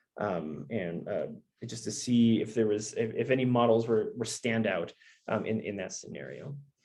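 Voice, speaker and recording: Vocal fry runs through this man's voice. He talks at a moderate pace with a medium pitch. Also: ordinary pitch variation. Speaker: researcher presenting data science results. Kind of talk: conference presentation. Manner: halting, many fillers.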